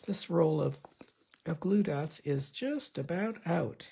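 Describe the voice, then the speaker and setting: A woman with very deep, low pitch and vocal fry, at a very slow pace with ordinary pitch variation. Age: 70s. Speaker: card-making crafter. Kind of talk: tutorial. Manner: casual, halting with fillers.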